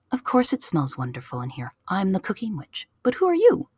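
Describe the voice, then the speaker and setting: A put-on character voice runs at a fairly quick pace. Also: woman, medium pitch for a woman. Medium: read story. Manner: haughty.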